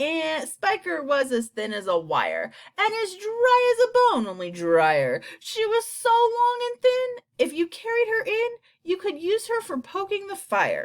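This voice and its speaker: In a put-on character voice, the speaker is loud and squeaky at an extremely high pitch, going at a fairly slow pace. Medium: read story. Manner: loud, gleeful.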